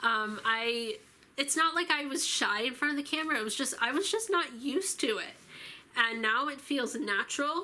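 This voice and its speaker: Projecting her voice at a moderate pace, a woman speaks high and lively, her tone bright and sharp. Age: 20s. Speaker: YouTuber. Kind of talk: casual vlog talk to camera. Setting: filming alone to camera. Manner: casual with many fillers.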